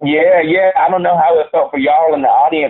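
At a very fast pace, a voice with an American accent speaks with ordinary pitch variation. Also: man. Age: 30s. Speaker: stage actor. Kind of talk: interview.

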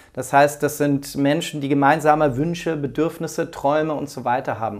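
The voice belongs to a man and sits fairly high in pitch. He speaks at a fairly quick pace. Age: 40s. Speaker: entrepreneur and management consultant. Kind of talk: casual interview. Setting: in person at host's home. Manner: hesitant with fillers.

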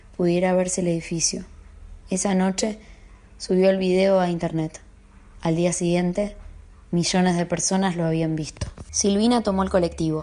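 Her tone is dark and mellow, and her intonation is flat and monotone. The woman keeps a moderate pace. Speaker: audiobook narrator and guest. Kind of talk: audiobook reading of a literary horror story, then casual chat.

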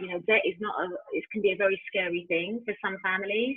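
A woman with a London accent at a fairly quick pace, music in the background. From East London, England. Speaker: founder of a music industry organisation. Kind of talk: casual interview.

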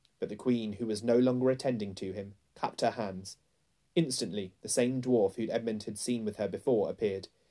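A natural reading voice moves through ordinary pitch variation.

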